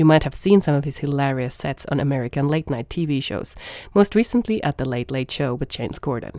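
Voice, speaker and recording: A woman speaks with a Finnish accent at a fairly quick pace. Her intonation is lively. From Finland. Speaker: podcast host, embassy communications staff. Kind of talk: scripted narration. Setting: small room at embassy.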